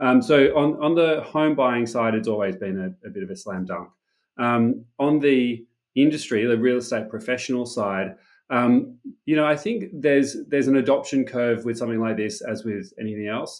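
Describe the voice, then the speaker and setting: Against a quiet background, a man with an Australian accent speaks at a moderate pace and medium pitch, his intonation lively. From Australia, Sydney. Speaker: tech startup founder and CEO. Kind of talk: interview.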